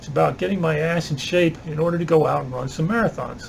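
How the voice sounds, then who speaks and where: A man talks at a fairly quick clip in a fairly high voice. His intonation stays fairly even, and there is noticeable background noise. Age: 60s. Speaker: retired vlogger and substitute teacher. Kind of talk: casual vlog monologue. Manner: conversational, hesitant with fillers.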